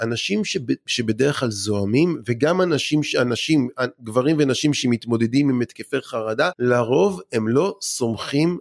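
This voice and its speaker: With a plain, everyday voice, a man speaks at a medium pitch and a fairly slow pace, using lively intonation at very even loudness in a dry, close sound with no echo. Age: 40s. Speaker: anger-management expert and lecturer. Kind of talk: casual interview.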